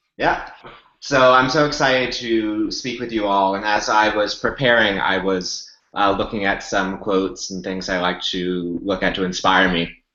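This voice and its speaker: A man in an American accent, fairly low in pitch with ordinary pitch variation, at a moderate pace, with audible room echo. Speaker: yoga teacher. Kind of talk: webinar talk.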